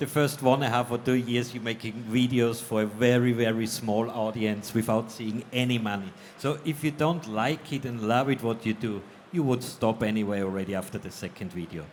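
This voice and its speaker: With ordinary pitch variation, the speech comes at a fairly quick pace in an unremarkable speaking voice. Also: man, medium pitch for a man. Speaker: electronics video creator. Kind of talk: panel discussion. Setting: stage with audience.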